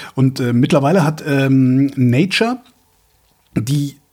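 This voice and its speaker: A man speaks at a medium pitch with ordinary pitch variation. His voice is somewhat breathy, with a dark, mellow tone. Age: 50s. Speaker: podcast co-host. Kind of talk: casual chat. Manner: halting.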